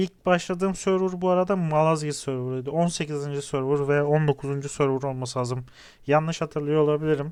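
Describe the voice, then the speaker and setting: This man has a fairly high pitch and a plain, everyday voice. He talks at a moderate pace with fairly even intonation. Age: 30s. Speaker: gaming YouTuber. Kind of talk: gameplay commentary.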